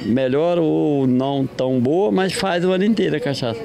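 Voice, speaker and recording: Against noticeable background noise, a man with a fairly high voice speaks at a moderate pace with lively intonation. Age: 70s. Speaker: cachaça maker and instructor. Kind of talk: interview. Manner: casual.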